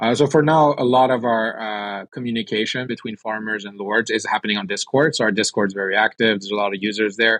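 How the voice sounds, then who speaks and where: A man speaks very fast in a fairly low pitch, with hardly any pauses and fairly even intonation. The sound is dry and close, with no echo. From France and Sweden. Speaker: game studio CEO. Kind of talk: interview.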